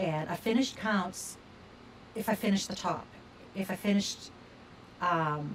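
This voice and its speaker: Amid noticeable background noise, a woman speaks at a fairly slow pace with long, frequent pauses. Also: medium pitch for a woman, ordinary pitch variation. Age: 60s. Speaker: crafting video creator. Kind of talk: casual vlog monologue. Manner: chatty with fillers. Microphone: sound problems in video.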